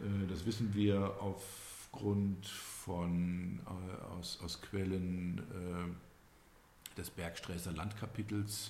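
In a room with audible echo, a man speaks very slowly in a very deep, low pitch, somewhat breathy, with monotone, flat intonation. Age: 60s. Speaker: local historian and business owner. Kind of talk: interview. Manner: hesitant, many fillers.

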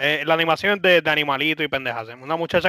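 On a very clean recording with a silent background, a man with a Puerto Rican accent speaks in a bright, sharp tone with fairly even intonation, the sound dry and close with no echo. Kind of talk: casual chat.

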